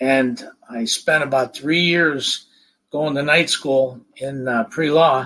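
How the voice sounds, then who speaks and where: A man with an American accent, fairly high pitch, bright, sharp tone, fairly even intonation and fairly slow pace. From northeastern Ohio (Youngstown area). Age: 60s. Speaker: county commissioner. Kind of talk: podcast interview. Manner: hesitant, many fillers.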